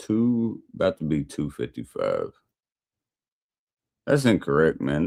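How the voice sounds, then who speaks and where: A man's dark, mellow voice at a moderate pace, with an American accent. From US Midwest/Upper South mix. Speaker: livestreamer. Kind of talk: casual livestream chat while drinking. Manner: casual, profane.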